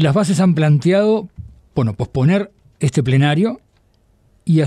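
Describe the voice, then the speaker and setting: Lively intonation marks this man's moderate-paced speech. His tone is dark, mellow and somewhat breathy. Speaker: radio host. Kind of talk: radio interview.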